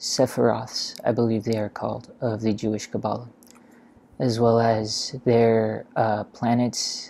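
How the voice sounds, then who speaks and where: This soft-spoken voice moves at a very slow pace. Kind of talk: ASMR soft-spoken tutorial, memorizing by repetition. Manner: soft-spoken, slow, casual.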